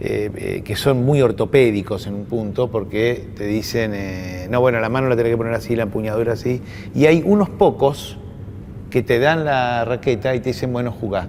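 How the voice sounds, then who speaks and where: Noticeable background noise sits under a man speaking at a moderate pace and medium pitch. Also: ordinary pitch variation. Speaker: university official and moderator. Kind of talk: panel conversation. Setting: university event with audience. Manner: halting.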